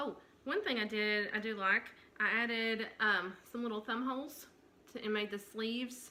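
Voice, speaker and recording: The voice carries a Southern US accent at a moderate pace. Its intonation stays fairly even. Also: woman. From Tennessee. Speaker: knitting podcaster. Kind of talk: casual show-and-tell vlog. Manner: many fillers, hesitant.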